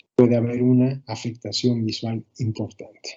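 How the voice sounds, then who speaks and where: A man speaks with a medium pitch. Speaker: ophthalmology lecturer. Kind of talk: lecture. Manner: fast.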